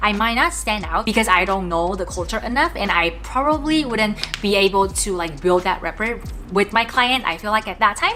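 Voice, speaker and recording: Music plays behind a woman with a non-native accent. She talks at a moderate pace and medium pitch with lively intonation. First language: non-English. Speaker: product manager in tech. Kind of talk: casual talk to camera.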